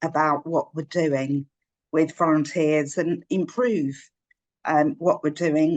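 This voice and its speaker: A woman with a London accent is recorded with a dry, close sound and no echo. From North London. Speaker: volunteer program manager. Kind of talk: webinar talk.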